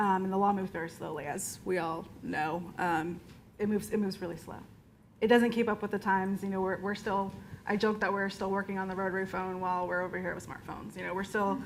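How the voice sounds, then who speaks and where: A woman's medium-pitched voice in a Southern US accent, very fast and monotone with flat intonation, set against audible room echo. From Florida. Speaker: movement lawyer. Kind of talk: panel discussion. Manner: halting, many fillers and restarts.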